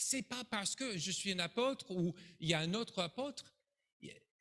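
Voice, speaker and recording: With an American accent, a man speaks at a fairly slow pace in a bright, sharp tone with ordinary pitch variation. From United States. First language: English (speaking French). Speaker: pastor. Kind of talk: sermon. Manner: animated.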